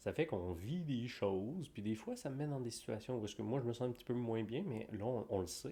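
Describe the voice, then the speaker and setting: Using an unremarkable speaking voice, a man of medium pitch talks at a fairly quick pace with lively intonation. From Quebec. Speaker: podcast co-host. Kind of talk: casual chat.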